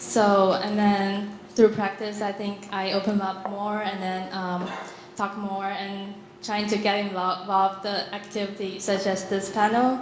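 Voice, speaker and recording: With flat, monotone intonation, a woman speaks at a fairly slow pace amid audible room echo and noticeable background noise. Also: medium pitch for a woman. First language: not English. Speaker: graduate student panelist. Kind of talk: panel discussion. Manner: halting, many fillers.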